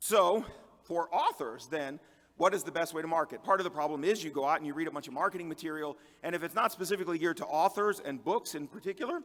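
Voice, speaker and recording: Ordinary pitch variation accompanies speech delivered at a very fast pace. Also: man, high pitch for a man. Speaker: conference speaker and fantasy author. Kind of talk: conference talk.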